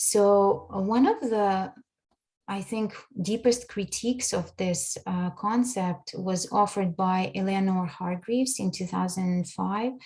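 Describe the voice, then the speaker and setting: A woman's dark, mellow, somewhat breathy voice at medium pitch, fairly slow in pace, with ordinary pitch variation. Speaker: language education researcher. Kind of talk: conference presentation.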